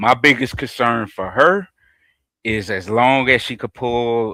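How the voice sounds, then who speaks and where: The voice carries an American accent and a bright, sharp tone. Its pitch varies in an ordinary way. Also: man. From US South, Georgia. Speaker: horror and pop culture podcast panelist. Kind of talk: casual chat. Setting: live stream.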